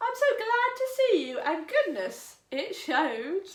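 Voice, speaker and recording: A woman uses a put-on character voice, squeaky and extremely high in pitch. She speaks fairly slowly with very wide pitch swings. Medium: read story. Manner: chirpy, polite.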